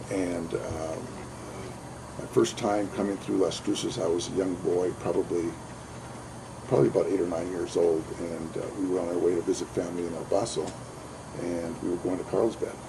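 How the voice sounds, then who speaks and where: Over noticeable background noise and audible room echo, a man with a very deep, low voice talks at a moderate pace in a flat monotone, pausing long and often. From Southern California. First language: Spanish. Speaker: judicial candidate, workers' compensation judge. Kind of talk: interview. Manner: halting, many fillers.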